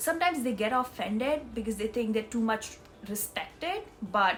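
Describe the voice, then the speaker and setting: Her pace is moderate and her pitch fairly high. This woman's voice carries some breathiness. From India. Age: 20s. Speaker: vlogger. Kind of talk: casual vlog. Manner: hesitant, with fillers.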